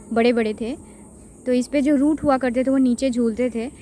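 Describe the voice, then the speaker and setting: A woman's high-pitched voice with fairly even intonation, dry with no echo, over light background noise. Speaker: vlogger. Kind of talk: casual vlog chat. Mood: curious storytelling. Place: waterside. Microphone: phone near.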